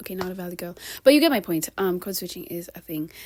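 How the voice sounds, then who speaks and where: A woman with a medium pitch speaks in an animated tone, her intonation lively. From Kenya. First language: bilingual English and Swahili. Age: 20s. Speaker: vlogger. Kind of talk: casual vlog monologue.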